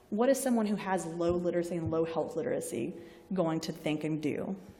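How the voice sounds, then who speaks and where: A woman in a Southern US accent at a fairly quick pace, with audible room echo and noticeable background noise. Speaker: health sciences librarian. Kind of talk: lecture. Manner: conversational, informal.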